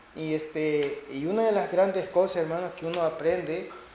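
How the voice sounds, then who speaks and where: A high-pitched man talks at a fairly slow pace. Noticeable background noise and audible room echo surround him. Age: 60s. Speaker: preacher. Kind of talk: sermon.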